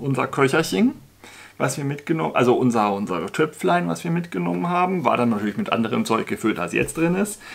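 Very wide swings mark the pitch. The speaker is a man. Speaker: outdoor gear reviewer. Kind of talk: casual vlog chat. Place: home room.

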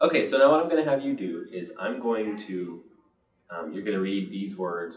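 Speaking with an American accent at a moderate pace, a man with a fairly low voice makes very wide pitch swings and big swings in loudness, with audible room echo. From Midwestern US. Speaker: interviewer. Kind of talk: interviewer. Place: home room. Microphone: camera far.

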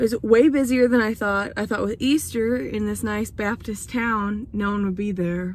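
Her slightly mellow voice sits at a medium pitch and moves at a moderate pace with fairly even intonation.

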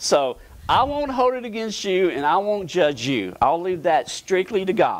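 Here a man is speaking. His pace is fairly slow. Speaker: pastor preaching. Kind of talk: sermon. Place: church.

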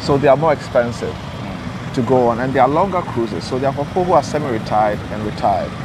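A man at a medium pitch speaks at a fast pace with lively intonation over clear background noise.

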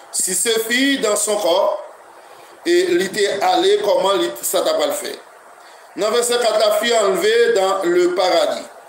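Delivered at a fairly slow pace with long, frequent pauses, the speech has lively intonation, with light background noise and audible room echo. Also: man, high pitch for a man. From Haiti. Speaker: pastor; preacher addressing online listeners. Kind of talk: sermon. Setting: internet radio broadcast. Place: home room.

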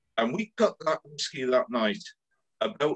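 In a Welsh accent, a man speaks with very wide pitch swings. The background is quiet. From Wales. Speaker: club event organiser; whisky tasting host. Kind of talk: casual chat. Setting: video call. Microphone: video call.

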